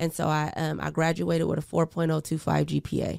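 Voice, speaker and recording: A woman with an American accent, on a very clean recording with a silent background, the sound dry and close with no echo. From US Pacific Northwest, Portland, Oregon. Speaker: podcast host, person in recovery from addiction. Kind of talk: personal testimony in casual interview. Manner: hesitant, many fillers.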